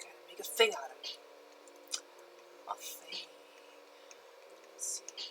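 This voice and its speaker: A woman whispers at a fairly slow pace, with long, frequent pauses and big swings in loudness. Audible room echo and noticeable background noise are present. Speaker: photo retoucher streaming live. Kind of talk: casual live stream chat. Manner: slow, relaxed.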